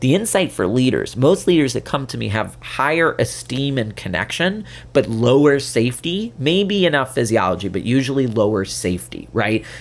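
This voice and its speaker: In a very clean recording with a silent background, the voice has an animated tone, vocal fry, and very wide pitch swings, with hardly any pauses. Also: man, medium pitch for a man. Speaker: podcast host, therapist and leadership coach. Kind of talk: solo podcast talk. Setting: video podcast. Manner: fast.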